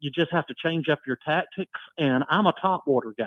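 With ordinary pitch variation and a moderate pace, a man talks in an ordinary speaking voice. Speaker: caller. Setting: phone call.

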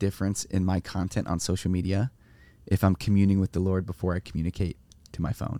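A man with a Californian accent speaks at a fairly low pitch in a dark, mellow tone, recorded dry and close with no echo. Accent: Californian American. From US West Coast, San Diego. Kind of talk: casual interview. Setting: mobile podcast studio in a trailer.

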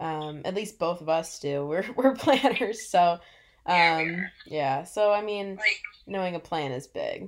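A woman with an American accent speaks in a normal speaking voice at a fairly low pitch and a fairly slow pace. Her intonation is lively, and the recording is very clean with a silent background. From US Midwest, Illinois. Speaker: podcast co-host. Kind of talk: casual chat.

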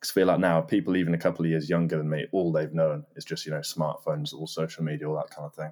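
In an English accent, a man talks at a very fast pace with a very deep, low pitch and monotone, flat intonation. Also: hardly any pauses. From Norfolk, England. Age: 20s. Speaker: guest. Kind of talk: casual interview chat.

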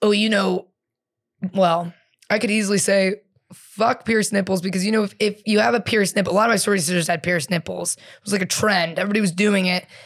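A woman speaks at a very fast pace in a medium pitch, with fairly even intonation. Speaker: comedian. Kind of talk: casual chat.

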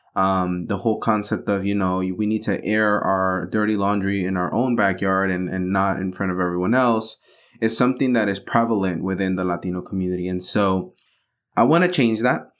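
A man talks at a fairly quick pace in an ordinary speaking voice, fairly low in pitch with fairly even intonation. The recording is very clean with a silent background. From Mexican-American (Chicano), US. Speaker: podcast host. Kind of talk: casual solo update monologue. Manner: warm, conversational.

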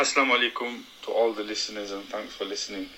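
A man with a Yorkshire accent talks fast in a fairly low voice. His tone is bright and sharp, and his intonation stays fairly even.

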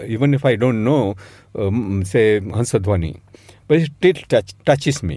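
Man at medium pitch, fairly slow, with lively intonation and a dark, mellow tone on a very clean recording with a silent background. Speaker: film scholar and critic. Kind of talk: interview. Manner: halting.

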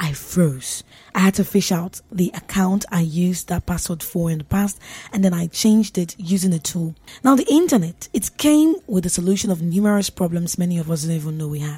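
Somewhat breathy, a woman speaks fairly quickly in a playful yet dark, mellow tone at a fairly low pitch with ordinary pitch variation. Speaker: radio host. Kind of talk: radio host patter, upbeat and chatty, with tips and sign-offs. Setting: studio. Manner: animated; conversational, playful and self-teasing.

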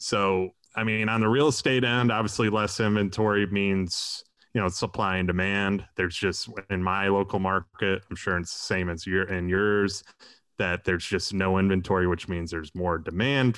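Against a quiet background, a man with a normal speaking voice talks at a moderate pace, his fairly low pitch carried in fairly even intonation. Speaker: construction and real estate businessman, podcaster. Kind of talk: casual interview chat.

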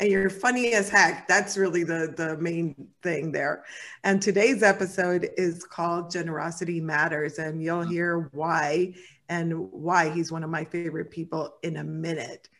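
In a very clean recording with a silent background, a woman with an unremarkable speaking voice talks at a moderate pace, her fairly low pitch held to a fairly even intonation. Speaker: podcast host and psychotherapist. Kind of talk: casual interview chat. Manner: warm, laughs often.

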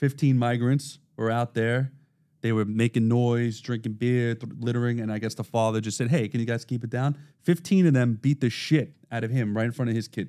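The recording is very clean, with a silent background. A man with a medium pitch and a dark, mellow tone speaks at a fairly quick pace with fairly even intonation. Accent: Brooklyn. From Brooklyn, New York. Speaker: podcast host, corrections worker. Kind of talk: casual chat.

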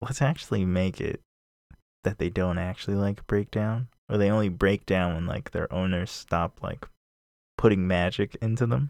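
The recording is very clean, with a silent background and a dry, close sound with no echo. The speaker has a plain, everyday voice with ordinary pitch variation at a moderate pace. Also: man, fairly low pitch for a man. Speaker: podcast host. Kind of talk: casual chat.

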